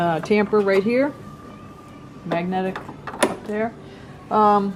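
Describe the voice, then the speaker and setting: A woman at a very slow pace and a medium pitch, with fairly even intonation and noticeable background noise. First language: not English. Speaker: coffee equipment presenter. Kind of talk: product demonstration.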